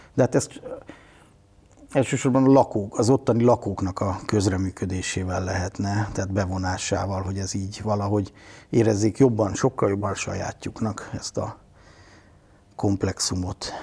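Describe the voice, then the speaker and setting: Somewhat breathy speech from a man, fairly low pitched with a dark, mellow tone, moderate pace, fairly even intonation and long, frequent pauses, on a very clean recording with a silent background. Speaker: media artist and cultural professional. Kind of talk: interview.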